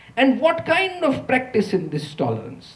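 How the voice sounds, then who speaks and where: Fairly slow male speech with very wide pitch swings and audible room echo. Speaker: economist, university lecturer. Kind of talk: lecture. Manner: quiet.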